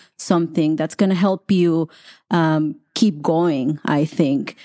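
A woman with a Mexican accent speaks at a very slow pace, her fairly low voice dark and mellow with ordinary pitch variation. The very clean recording has a silent background and a dry, close sound with no echo. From Colima, Mexico. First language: Spanish. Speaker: Spanish teacher. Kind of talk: interview.

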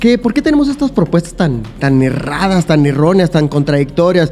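Noticeable background noise sits behind a man speaking with a Mexican accent. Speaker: podcast host. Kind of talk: casual chat.

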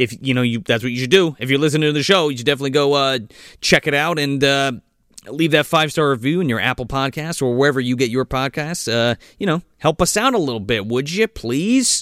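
A man's fairly high voice at a very fast pace, with a dry, close sound, no echo and a very clean recording with a silent background. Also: ordinary pitch variation. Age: 30s. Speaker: movie podcast host. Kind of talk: casual chat.

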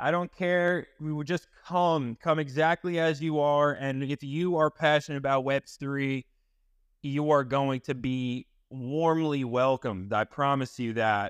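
Here is a man with an American accent and a plain, everyday voice. His fairly high pitch shows ordinary variation. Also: fairly slow pace. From US Northeast, Long Island. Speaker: live audio chat host. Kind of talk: casual chat. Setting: live audio chat room. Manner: excitable.

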